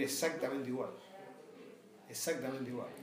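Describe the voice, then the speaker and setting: Noticeable background noise and audible room echo surround the recording. A man speaks with a Rioplatense accent. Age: 60s. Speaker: sports club board member. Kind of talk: interview.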